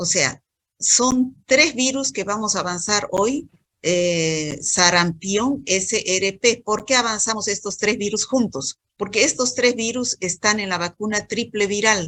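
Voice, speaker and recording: The tone is bright and sharp, and the pace is very slow. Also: woman, medium pitch for a woman. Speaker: medical school lecturer. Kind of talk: online lecture. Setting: video call. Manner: not loud.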